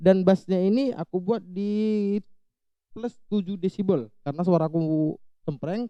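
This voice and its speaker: A man speaks in a high, dark, mellow voice at a fairly slow pace, with ordinary pitch variation. The sound is dry and close, with no echo. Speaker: YouTuber, audio gear tutorial maker. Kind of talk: tutorial. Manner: casual, conversational.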